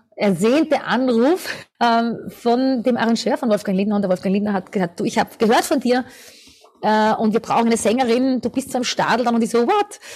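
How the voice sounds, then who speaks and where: A woman speaks at a moderate pace in an ordinary speaking voice, fairly high in pitch, with ordinary pitch variation and very even loudness. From Austria, Lower Austria (near St. Pölten). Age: 50s. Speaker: singer and vocal coach. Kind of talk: interview.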